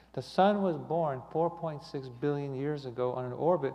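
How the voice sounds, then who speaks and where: Audible room echo surrounds a man with a fairly high voice who speaks at a moderate pace with ordinary pitch variation. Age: 60s. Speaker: lay speaker giving a talk on astronomy. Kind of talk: sermon. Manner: halting, many fillers and repeats.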